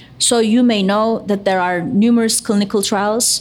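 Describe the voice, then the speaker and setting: A woman speaks at a fairly slow pace with fairly even intonation. Noticeable background noise is present. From Turkey. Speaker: neuroscience professor. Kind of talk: live panel interview. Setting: stage with audience.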